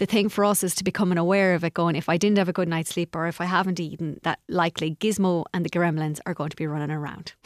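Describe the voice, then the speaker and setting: In an Irish accent, a woman talks at a very fast pace with a fairly low pitch and fairly even intonation, in a very clean recording with a silent background and a dry, close sound with no echo. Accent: Irish (Galway). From Ireland, Galway. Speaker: life coach. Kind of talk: radio interview. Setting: radio studio.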